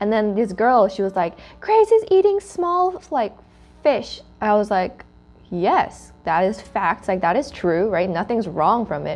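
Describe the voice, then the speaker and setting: A woman speaking at a fairly slow pace, fairly high in pitch, with lively intonation and a Korean accent. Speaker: student club host. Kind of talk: casual chat. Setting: sitting around eating food.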